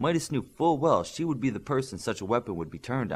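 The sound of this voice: The intonation is lively. The reading voice is unforced.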